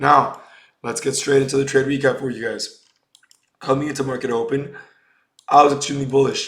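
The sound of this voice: A put-on character voice, raspy and hoarse, flat and monotone, at a fairly quick pace with long, frequent pauses and audible echo. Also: man, medium pitch for a man.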